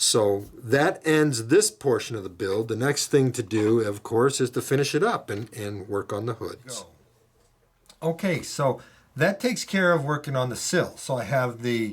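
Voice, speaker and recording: A man talks at a moderate pace and medium pitch, his voice somewhat breathy and his intonation lively. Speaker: model railroad hobbyist. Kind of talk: tutorial. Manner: halting, many fillers.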